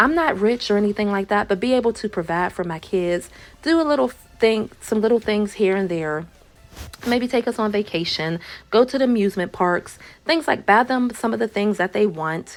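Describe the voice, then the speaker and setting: With music in the background, a woman speaks at a moderate pace in a medium pitch with lively intonation. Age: 40s. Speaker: YouTuber. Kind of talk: casual vlog, answering viewer questions. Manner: animated, repetitive emphasis.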